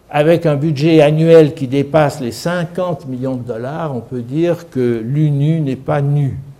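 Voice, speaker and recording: Audible room echo surrounds a man with a dark, mellow tone and fairly high pitch. He goes at a very slow pace with hardly any pauses and fairly even intonation. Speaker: lecturer, former senior civil servant. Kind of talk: lecture. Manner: calm, peaceful tone.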